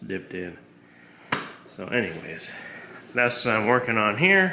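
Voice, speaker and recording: With noticeable background noise and audible room echo, a man speaks at a moderate pace with ordinary pitch variation. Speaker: hobbyist car restorer. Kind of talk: workshop tutorial vlog. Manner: casual, rambling.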